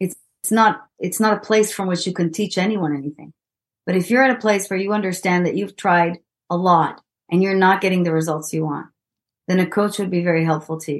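A woman speaks with an Israeli accent at a medium pitch. Her intonation is fairly even against a quiet background. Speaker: executive coach. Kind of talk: interview.

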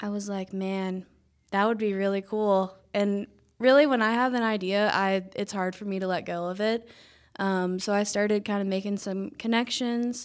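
In a Georgia accent, a woman speaks at a medium pitch with fairly even intonation on a very clean recording with a silent background. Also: moderate pace. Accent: US Southern (Georgia). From Northwest Georgia, near Ringgold. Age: young. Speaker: small business owner. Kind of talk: radio interview. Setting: studio.

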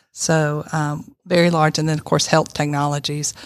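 The recording is very clean, with a silent background. A woman talks in a Southern US accent with a very deep, low pitch. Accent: Southern US (Georgia). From Northwest Georgia, US South. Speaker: college president. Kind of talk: casual interview. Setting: studio.

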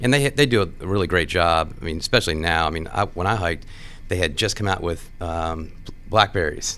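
An American accent marks this man's very deep, low voice, which has a bright, sharp tone. He talks at a fairly quick pace with ordinary pitch variation. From Washington D.C. area. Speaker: construction executive. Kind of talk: casual interview.

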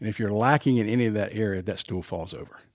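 On a very clean recording with a silent background, a man speaks in a normal speaking voice. His pitch is fairly low, with ordinary variation. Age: 60s. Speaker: sports performance trainer. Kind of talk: casual chat. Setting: studio.

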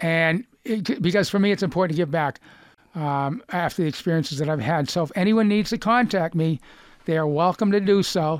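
In a very clean recording with a silent background, a man with a Boston accent talks at a fairly quick pace, his high voice showing ordinary pitch variation. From Lexington, Massachusetts. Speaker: cancer survivor and author. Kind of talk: casual interview.

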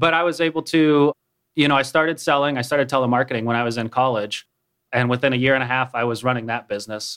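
The setting is quiet. A man talks very fast with an American accent. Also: medium pitch for a man, fairly even intonation. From Minnesota. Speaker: app startup CEO. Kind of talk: radio interview.

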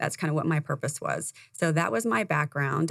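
Her pitch is very deep and low for a woman, and she speaks at a fairly quick pace. The recording is very clean, with a silent background. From Indiana. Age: 50s. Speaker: business coach. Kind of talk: interview. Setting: studio.

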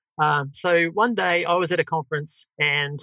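A man speaks with a bright, sharp tone and ordinary pitch variation. The sound is dry and close, with no echo. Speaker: software company founder, former project manager. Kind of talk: podcast interview. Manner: hesitant, many fillers.

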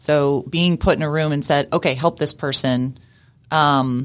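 A fairly slow pace, recorded very cleanly against a silent background. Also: woman. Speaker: nonprofit director. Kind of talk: casual interview and coaching session. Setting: studio.

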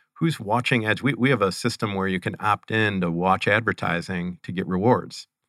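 Recorded very cleanly with a silent background and a dry, close sound with no echo, a man speaks at a fairly slow pace with a bright, sharp tone and ordinary pitch variation. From Ohio, Cleveland area. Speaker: gaming company founder. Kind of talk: interview. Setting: studio.

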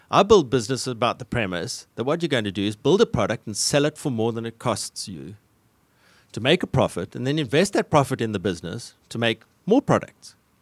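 With a South African accent, a man of medium pitch talks at a fairly quick pace with very wide pitch swings, in a dry, close sound with no echo on a very clean recording with a silent background. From South Africa, Cape Town. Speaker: tech company founder and civil engineer. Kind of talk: business radio interview. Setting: studio.

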